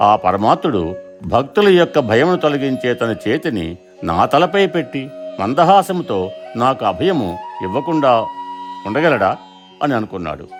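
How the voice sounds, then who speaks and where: A man speaks at a medium pitch with very wide pitch swings. Music is playing in the background. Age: old. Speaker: reciter of devotional verses. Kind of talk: storytelling explanation of verses.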